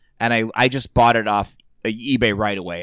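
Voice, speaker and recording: A man with a normal speaking voice and a fairly low pitch talks at a fairly quick pace with fairly even intonation, in a very clean recording with a silent background. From Indiana, US Midwest. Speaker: comedian. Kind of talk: casual chat.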